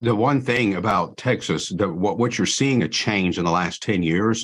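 Against a quiet background, a man talks with a fairly low pitch and ordinary pitch variation. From Iran. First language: Persian. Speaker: law enforcement trainer and former police officer. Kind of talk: casual interview. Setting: video call.

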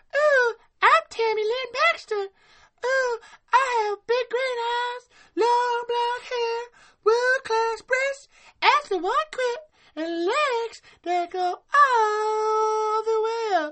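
A squeaky, put-on character voice at an extremely high pitch moves at a very slow pace.

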